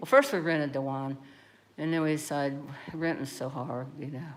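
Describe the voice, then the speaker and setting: Audible room echo around a woman with a very deep, low pitch, a moderate pace and fairly even intonation. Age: 60s. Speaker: livestreamer. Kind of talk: casual chat. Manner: rambling conversational.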